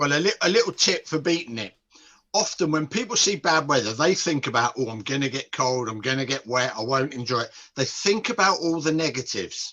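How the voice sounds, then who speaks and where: With a bright, sharp tone and lively intonation, a man talks at a moderate pace in a fairly high pitch. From UK. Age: 60s. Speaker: nutrition and behaviour change expert. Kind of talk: podcast interview.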